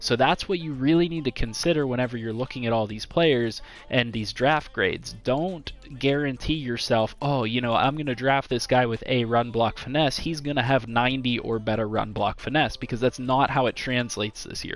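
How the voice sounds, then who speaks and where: With music in the background, a man talks with hardly any pauses. His pitch variation is ordinary. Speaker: gaming YouTuber. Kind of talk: tutorial. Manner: halting, stumbles over words; casual, conversational.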